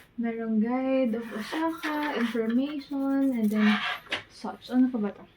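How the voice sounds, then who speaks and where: Quiet and fairly slow, a woman speaks at a high pitch with ordinary pitch variation over noticeable background noise. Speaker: travel vlogger. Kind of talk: vlog room tour. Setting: hotel room. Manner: quiet, lowered voice.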